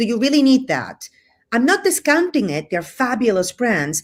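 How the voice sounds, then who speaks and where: On a very clean recording with a silent background, a woman with a Cuban accent speaks at a fairly high pitch with very wide pitch swings. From Spain, with Cuban family ties. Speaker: hotel representation business owner. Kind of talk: casual interview chat. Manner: animated.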